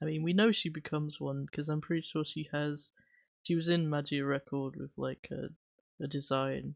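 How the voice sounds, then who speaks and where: A woman with an English accent speaks at a very deep, low pitch. She keeps a moderate pace and fairly even intonation. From England/Wales (UK). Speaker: streamer. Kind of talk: casual chat. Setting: livestream. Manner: chatty, rambling.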